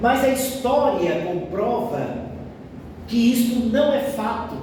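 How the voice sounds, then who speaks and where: Over noticeable background noise and audible room echo, a man talks very slowly at an extremely high pitch, with ordinary pitch variation. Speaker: spiritist lecturer. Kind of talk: lecture. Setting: spiritist centre with audience, no microphone sound.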